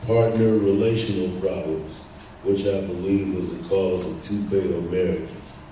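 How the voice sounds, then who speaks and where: With audible room echo, a man speaks fairly slowly at a fairly low pitch and with fairly even intonation. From Northern California, Bay Area (Berkeley). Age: 60s. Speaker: speaker sharing recovery story, retired electrician. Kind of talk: testimony, prepared talk.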